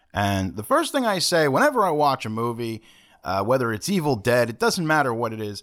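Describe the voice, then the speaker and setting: A man with a normal speaking voice talks at a fairly quick pace in a medium pitch. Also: lively intonation. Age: 40s. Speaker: horror film podcast host. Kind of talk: casual chat.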